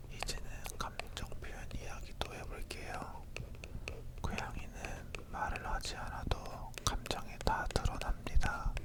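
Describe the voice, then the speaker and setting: A whisper creeps along at a very slow pace, with noticeable background noise behind it. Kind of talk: ASMR whispered chat about cats. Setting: close stereo microphone with left-right panning.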